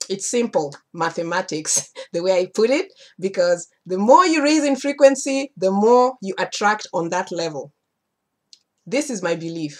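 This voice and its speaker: Against a quiet background, a woman speaks at a moderate pace with very wide pitch swings. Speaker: spiritual teacher. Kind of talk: casual vlog chat. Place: home room. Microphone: webcam.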